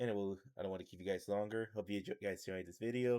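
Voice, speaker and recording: A man speaks with a fairly low pitch and a dark, mellow tone. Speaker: YouTuber. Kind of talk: video intro. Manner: halting, frequent pauses.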